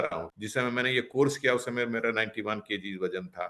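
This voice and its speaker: A man with a medium-pitched voice speaks with lively intonation against a quiet background. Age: 60s. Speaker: retired civil servant and lawyer. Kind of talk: testimonial interview. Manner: hesitant fillers, mixes English.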